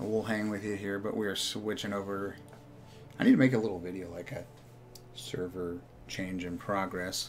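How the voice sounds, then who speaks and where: A man speaks at a fairly low pitch, with audible echo from the room. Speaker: esports caster and stream host. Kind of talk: live esports stream commentary. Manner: monotone; casual, chatty.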